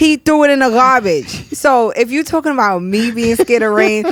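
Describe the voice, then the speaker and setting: A woman with a New York accent speaks in an animated tone, her fairly high voice carrying lively intonation. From New York, Brooklyn. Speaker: podcast host. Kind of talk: casual chat.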